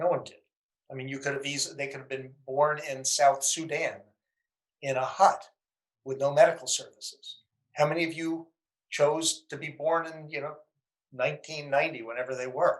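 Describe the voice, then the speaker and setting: A man with an American accent speaks at a fairly high pitch, his intonation fairly even, his loudness swinging widely, and his speech broken by long, frequent pauses. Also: moderate pace. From US Northeast, Danbury, Connecticut. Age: 60s. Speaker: entrepreneur and investor. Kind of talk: podcast interview.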